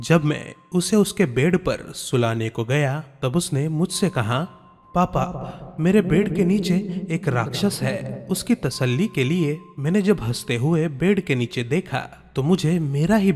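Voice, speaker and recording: A man's fairly high voice with very wide pitch swings over background music. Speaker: voice-over artist. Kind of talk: horror story narration.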